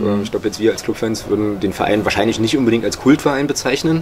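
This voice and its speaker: Noticeable background noise sits behind the voice. A man speaks very fast with fairly even intonation. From Saxony-Anhalt, Magdeburg; Saxony-Anhalt. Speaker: author and football blogger; football blogger. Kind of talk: interview. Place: home room. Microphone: studio mic.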